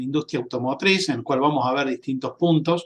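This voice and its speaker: A man talks in fairly level intonation, and the background is quiet. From Argentina, Córdoba province. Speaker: sales and marketing representative, fire safety presenter. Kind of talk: webinar presentation. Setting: online webinar. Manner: hesitant, many filler sounds.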